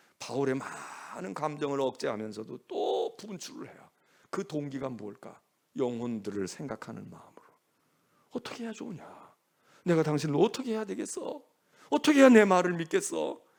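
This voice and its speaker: The speaker is a man talking at a moderate pace. His loudness swings widely. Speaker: senior pastor. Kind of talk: sermon. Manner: animated.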